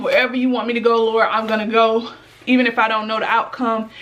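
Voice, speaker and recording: This woman's voice sits at a fairly high pitch. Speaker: vlogger. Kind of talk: casual vlog talk to camera. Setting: at home. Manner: mumbling.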